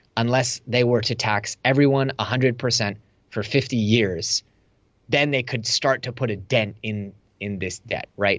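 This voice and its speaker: A man talks at a moderate pace with an American accent and a normal speaking voice. His pitch is medium and his intonation fairly even. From US, Silicon Valley. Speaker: entrepreneur and online course instructor. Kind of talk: interview conversation.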